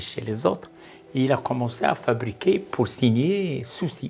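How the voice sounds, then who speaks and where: Here a man speaks very slowly. His pitch swings very widely. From Morocco, Safi. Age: 80s+. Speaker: art collector and retired senior official. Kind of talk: interview testimony.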